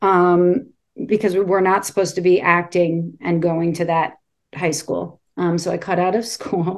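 At a fairly slow speed, a woman talks in an ordinary speaking voice. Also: fairly low pitch for a woman, fairly even intonation. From New York City (Brooklyn). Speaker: actress. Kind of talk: interview.

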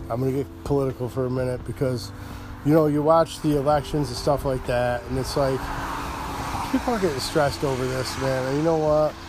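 Through noticeable background noise, a man with a medium pitch talks at a fairly quick pace with ordinary pitch variation. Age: 50s. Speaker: podcast host. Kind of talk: casual solo talk show monologue. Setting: outdoors, front porch. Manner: rambling, jokey, informal.

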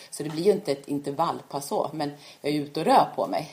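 A woman speaks very fast in a very deep, low voice. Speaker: orienteering coach and former world champion. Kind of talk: casual interview. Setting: at home. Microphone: far from the mic, too quiet.

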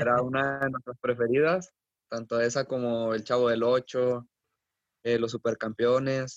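In a flat monotone, a man speaks at a fairly slow pace with a dry, close sound and no echo. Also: medium pitch for a man. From Mexico, Coahuila. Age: 20s. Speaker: professional footballer. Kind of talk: interview.

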